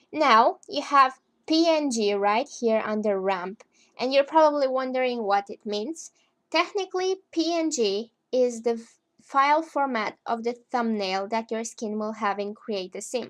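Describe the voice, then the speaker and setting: A woman speaks at a fairly slow pace in a high voice, her intonation lively. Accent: Eastern European. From Romania. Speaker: gaming tutorial creator. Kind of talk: casual tutorial narration.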